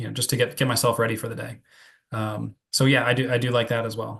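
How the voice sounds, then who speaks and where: A man's medium-pitched voice with vocal fry and an American accent, in monotone, flat intonation at a fairly quick pace. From New Jersey, US. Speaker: psychiatry researcher. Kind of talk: Q&A after a lecture. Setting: Zoom video call. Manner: fast; halting, many fillers and repeats.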